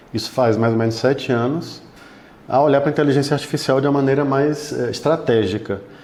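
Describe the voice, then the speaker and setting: A man talks at a fairly quick pace, with audible room echo around his voice. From Bahia, Brazil. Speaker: law firm technology partner. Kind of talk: interview.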